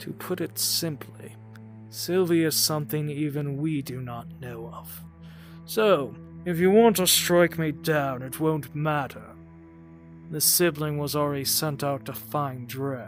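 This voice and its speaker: Over clear background music, a man uses a put-on character voice, fairly high in pitch and fairly slow. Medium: audio drama. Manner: scornful, mocking.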